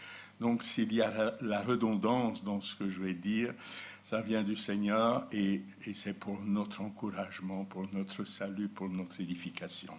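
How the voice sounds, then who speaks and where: A man speaks at a fairly slow pace in a monotone with flat intonation, and audible room echo can be heard. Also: fairly low pitch for a man. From Belgium, Borinage (Hainaut). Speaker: preacher. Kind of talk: sermon.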